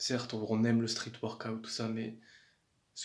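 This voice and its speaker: In a calm tone, a man speaks with monotone, flat intonation and a somewhat breathy voice. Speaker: fitness vlogger. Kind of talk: casual vlog talk. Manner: hesitant, repeats words.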